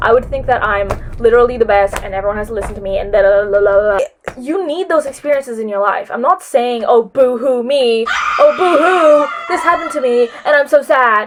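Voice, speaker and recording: A woman's high, animated voice with lively intonation at a fairly quick pace, over noticeable background noise. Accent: non-native. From New Zealand. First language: not English. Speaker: vlogger. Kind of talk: casual advice vlog.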